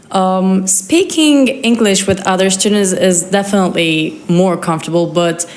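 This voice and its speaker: A woman speaks at a medium pitch and a fairly slow pace. Room echo is audible, and there is noticeable background noise. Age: 20s. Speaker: exchange student. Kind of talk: interview.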